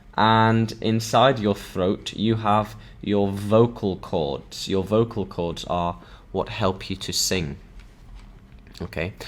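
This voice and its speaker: A man with a Yorkshire accent, fairly low in pitch, with fairly even intonation and a very slow pace. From northern England, Sheffield. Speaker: English teacher. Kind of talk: online language lesson. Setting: live stream. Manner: slow, repetitive for learners.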